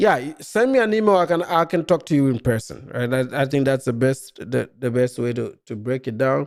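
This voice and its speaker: Someone with a Ghanaian accent speaks at a moderate pace, hardly pausing at all. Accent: Ghanaian English, largely unchanged. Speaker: live-stream commentator. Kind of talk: live stream chat reacting to comments. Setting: live stream.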